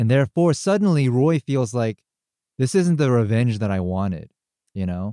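In a very clean recording with a silent background, a man with a dark, mellow tone and a medium pitch speaks at a moderate pace with very wide pitch swings, the sound dry and close with no echo. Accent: American. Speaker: podcast host. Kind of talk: casual chat.

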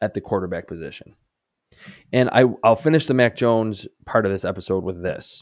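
This is a man with a normal speaking voice and fairly low pitch. He talks at a moderate pace with lively intonation. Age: 30s. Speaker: NFL draft analyst podcast host. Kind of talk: solo sports analysis podcast. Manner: conversational, with frequent restarts.

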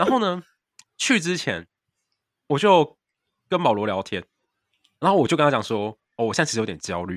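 In a very clean recording with a silent background and a dry, close sound with no echo, a man with a fairly high pitch and vocal fry talks at a fairly quick pace, with very wide pitch swings, big swings in loudness, and long, frequent pauses. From Taiwan. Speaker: podcast co-host, exchange student. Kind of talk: casual chat. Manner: fast.

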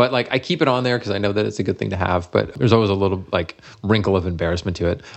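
With an American accent, a man talks very fast at a fairly low pitch with vocal fry and ordinary pitch variation. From Massachusetts, US. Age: 40s. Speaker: food magazine editor and chef. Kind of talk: interview.

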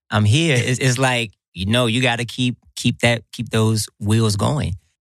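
The recording is very clean with a silent background, as a man with a plain, everyday voice speaks fairly slowly with ordinary pitch variation. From US South, Atlanta, Georgia. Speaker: professional dancer. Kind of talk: interview. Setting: studio.

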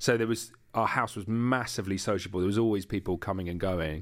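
A man with a London accent talks very fast at a fairly low pitch with ordinary pitch variation, recorded very cleanly against a silent background. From East London. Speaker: podcast creator and media entrepreneur. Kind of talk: interview.

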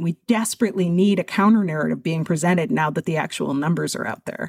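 A woman at a very fast pace, with lively intonation and vocal fry. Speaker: extremism researcher and nonprofit founder. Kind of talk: interview.

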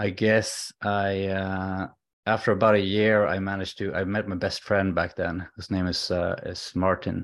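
A man's fairly low voice in a Swedish accent, at a moderate pace with monotone, flat intonation, over a quiet background. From Sweden. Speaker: alcohol-free coach. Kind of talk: interview, personal story. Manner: halting.

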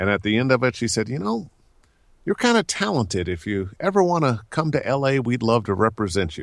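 A man speaks with an American accent at a fairly quick pace. His pitch swings very widely, and the recording is very clean with a silent background. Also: medium pitch for a man. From US Midwest, Cleveland. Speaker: voice actor. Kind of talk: casual chat.

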